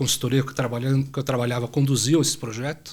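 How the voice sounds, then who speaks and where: On a very clean recording with a silent background, a man talks at a fairly quick pace in a fairly high, somewhat breathy voice with monotone, flat intonation. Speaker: supply chain executive. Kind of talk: podcast interview.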